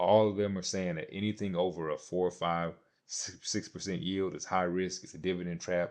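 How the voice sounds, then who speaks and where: Over a quiet background, a man with a very deep, low voice speaks at a moderate pace in a monotone, flat way, his loudness swinging widely. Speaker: investing YouTuber. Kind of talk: casual vlog commentary. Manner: halting, stuttering.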